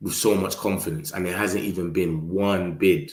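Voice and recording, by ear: Amid audible room echo, a man speaks at a moderate pace in a low pitch.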